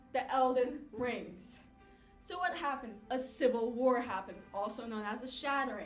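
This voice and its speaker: Music plays in the background. A woman speaks in a high voice. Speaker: college student. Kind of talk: class speech, casual game lore retelling. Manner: casual, chatty.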